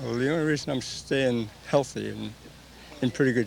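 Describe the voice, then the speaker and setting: A man at a moderate pace, amid noticeable background noise. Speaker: senior softball player. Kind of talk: interview.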